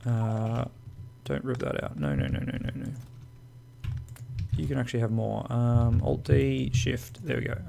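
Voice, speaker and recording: A man with a medium pitch swings his pitch very widely and leaves long, frequent pauses. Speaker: gaming video creator. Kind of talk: game tutorial commentary. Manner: casual, chatty.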